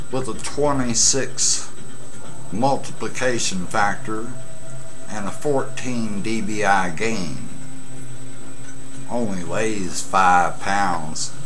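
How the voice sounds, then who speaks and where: With music in the background, a man with a fairly low voice talks very slowly, leaving long, frequent pauses. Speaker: CB radio hobbyist. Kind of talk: casual vlog chat. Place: home room. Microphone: webcam.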